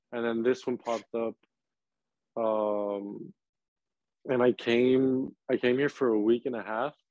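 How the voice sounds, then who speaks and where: A man with a medium pitch speaks at a fairly slow pace with fairly even intonation and long, frequent pauses, captured dry and close with no echo. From Texas, Laredo. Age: 20s. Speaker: professional footballer. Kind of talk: interview. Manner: halting, many fillers.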